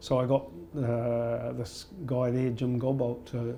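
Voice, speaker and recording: Fairly even intonation in a New Zealand accent, with audible room echo and music in the background. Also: man. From rural New Zealand. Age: 60s. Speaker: yoga teacher. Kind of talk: interview. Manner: halting, with fillers and repetitions.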